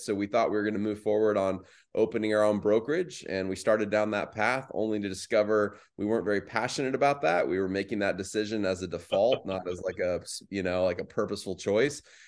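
A man with an American accent speaks in an ordinary speaking voice at a fairly quick pace, his pitch fairly low, over a quiet background. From Arizona, Phoenix metro. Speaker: realtor and real estate team lead. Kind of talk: interview conversation.

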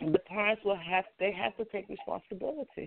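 A moderate pace with an American accent. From US. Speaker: caller, school worker. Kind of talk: call-in comment. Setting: phone call. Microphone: echo on line.

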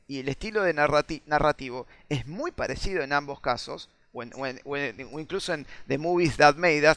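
A man's fairly high voice, a normal speaking voice, at a fairly quick pace with ordinary pitch variation and big swings in loudness, on a very clean recording with a silent background. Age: 40s. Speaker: video game design teacher. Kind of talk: casual chat.

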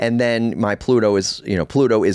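In a normal speaking voice, a man talks at a fairly quick pace with a fairly low pitch. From US Northeast, Baltimore. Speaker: astrologer and podcast host. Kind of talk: solo podcast monologue. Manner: casual, conversational with fillers.

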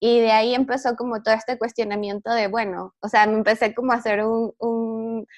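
Fairly high-pitched woman at a moderate pace, dry and close with no echo, against a quiet background. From Venezuela. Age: 20s. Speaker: women's empowerment project founder. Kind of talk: casual interview chat. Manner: hesitant, many fillers.

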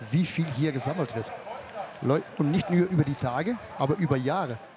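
Over noticeable background noise, a man speaks at a moderate pace. His fairly high voice has lively intonation. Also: long, frequent pauses. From Netherlands. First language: Dutch (speaking German). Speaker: fairground showman. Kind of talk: casual chat. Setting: outdoors at a fair.

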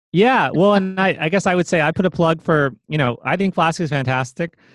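In a very clean recording with a silent background and a dry, close sound without echo, a man with an American accent and a plain, everyday voice talks at a moderate pace with lively intonation. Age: 30s. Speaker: programming teacher and author. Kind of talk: interview.

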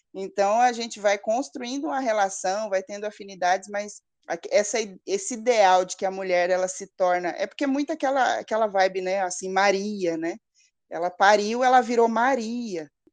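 Here a woman speaks in an ordinary speaking voice at medium pitch. Her pace is moderate and her pitch varies in an ordinary way. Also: quiet background. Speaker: psychologist and mother. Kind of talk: interview.

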